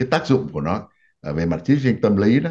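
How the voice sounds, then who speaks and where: A man with a fairly low voice speaks with very wide swings in pitch. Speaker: TV talk show host, physician. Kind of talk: political discussion. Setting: studio. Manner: formal. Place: home room. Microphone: webcam.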